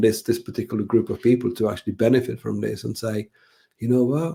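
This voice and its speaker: Speaking in a Czech accent, a man uses a dark, mellow tone with vocal fry, medium pitch and fairly even intonation. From Czech Republic. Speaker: brand designer and author. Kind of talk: podcast interview. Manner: halting, many repetitions.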